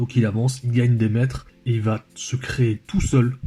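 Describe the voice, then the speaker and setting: A man with fairly even intonation, music in the background. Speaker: football analysis youtuber. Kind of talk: tactical match analysis video. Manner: hesitant, many filler sounds.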